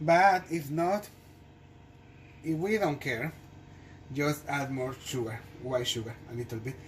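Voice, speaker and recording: At a fairly slow pace, the speaker talks with a non-native accent and takes long, frequent pauses. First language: not English. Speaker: home cooking video host. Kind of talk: cooking tutorial. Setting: home kitchen. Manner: halting, many fillers and restarts.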